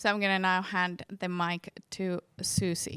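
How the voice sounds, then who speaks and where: A bright, sharp tone with a Finnish accent, dry and close with no echo. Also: woman. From Finland. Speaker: dance educator. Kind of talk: conference talk; guided movement exercise. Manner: slow.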